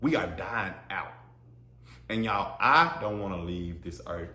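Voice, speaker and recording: With audible room echo, a man speaks at a fairly slow pace, showing vocal fry and ordinary pitch variation. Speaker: podcast host. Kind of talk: solo podcast monologue. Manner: loud; animated, repetitive stammering.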